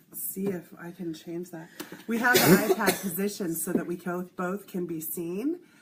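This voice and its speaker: A woman at medium pitch speaks at a moderate pace with fairly even intonation, her loudness swinging widely over noticeable background noise. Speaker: healing practitioner. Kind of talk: casual chat. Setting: live video stream.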